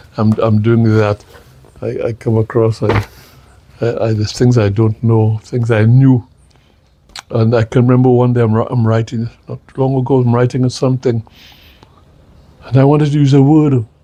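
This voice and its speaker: Noticeable background noise sits behind a man with a medium pitch and monotone, flat intonation. He talks at a moderate pace with long, frequent pauses. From Saint Lucia, rural village. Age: 80s+. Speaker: retired politician. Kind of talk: interview. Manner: halting, repetitive.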